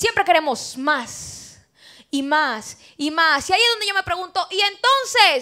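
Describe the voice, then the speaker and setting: A woman projects a raised voice at an extremely high pitch, bright and sharp in tone, with very wide pitch swings. She sounds animated at a fairly slow pace over a quiet background. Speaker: preacher. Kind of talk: sermon. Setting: church. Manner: conversational, rhetorical questions to congregation. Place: church. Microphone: handheld.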